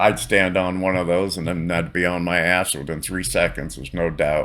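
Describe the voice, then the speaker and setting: With a western Pennsylvania accent, a man speaks at a moderate pace, very deep and low in pitch, in a flat monotone. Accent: western Pennsylvania American. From western Pennsylvania, between Erie and Pittsburgh. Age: 60s. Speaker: gaming streamer. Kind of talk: casual gameplay commentary. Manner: casual, relaxed.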